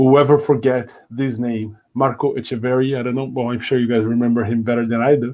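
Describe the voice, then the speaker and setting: With a Brazilian Portuguese accent, a man speaks at a medium pitch and a fairly quick pace, his intonation monotone and flat, with hardly any pauses. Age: 30s. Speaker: education company director, conference speaker. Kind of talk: conference talk. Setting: virtual conference. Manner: hesitant, many fillers.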